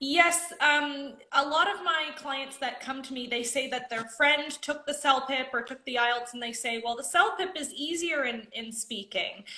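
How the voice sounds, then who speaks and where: Using a raised, projected voice, a woman with a Canadian accent and high pitch talks at a fairly slow pace with hardly any pauses, ordinary pitch variation and big swings in loudness. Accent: clean Canadian. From Canada, Nova Scotia. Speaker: ESL instructor. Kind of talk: live-stream interview.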